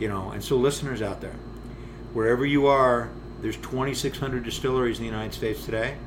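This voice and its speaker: A man's flat, monotone voice at a medium pitch and a fairly quick pace, with noticeable background noise and audible room echo. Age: 50s. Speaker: distillery founder and master distiller. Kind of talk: interview conversation. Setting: distillery.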